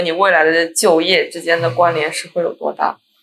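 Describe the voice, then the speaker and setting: A woman with an unremarkable speaking voice and fairly low pitch talks at a fairly quick pace. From Jiangsu, China (Kunshan). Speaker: podcast host. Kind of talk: casual interview chat.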